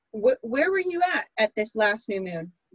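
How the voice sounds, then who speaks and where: Her voice is fairly high and somewhat breathy. The woman talks at a fairly slow pace. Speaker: podcast host. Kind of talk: casual chat with astrology talk.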